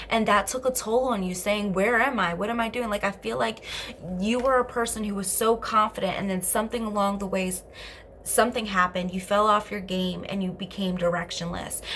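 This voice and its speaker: Over noticeable background noise, a woman speaks at a fairly quick pace and medium pitch in an animated tone. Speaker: tarot card reader. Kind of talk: tarot reading. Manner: fast.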